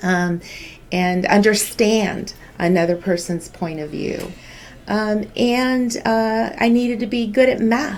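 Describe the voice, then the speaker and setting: This woman talks at a very slow pace in a Californian accent. Her pitch is fairly high, with ordinary variation. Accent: Californian American English. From Southern California (Santa Ana). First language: Spanish. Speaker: healthcare business executive. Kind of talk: school news show interview. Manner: measured, with frequent filler words.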